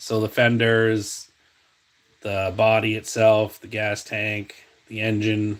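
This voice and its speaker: In a New England accent, a man talks at a very slow pace with a relaxed tone and a fairly low pitch, his loudness swinging widely. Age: 40s. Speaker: diecast customizer and video host. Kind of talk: casual live-stream chat showing finds. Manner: relaxed, many fillers like um and uh.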